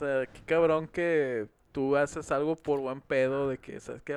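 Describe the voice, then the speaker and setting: At a moderate pace, a man talks with a Mexican accent. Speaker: podcast co-host. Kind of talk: casual chat.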